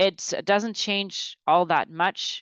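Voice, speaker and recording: Recorded with a dry sound and no echo, a woman speaks over a quiet background. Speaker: groundwater modeling presenter; presenter. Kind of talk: technical webinar presentation. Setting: online webinar. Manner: hesitant, many fillers and restarts. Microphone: webcam.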